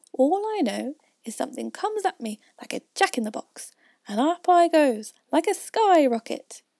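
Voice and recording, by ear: Squeaky put-on character voice from a woman at a moderate pace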